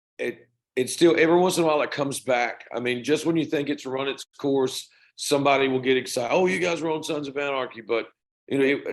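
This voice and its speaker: A man with a Southern US accent, very fast pace and fairly even intonation. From US South. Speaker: rock band singer. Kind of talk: interview.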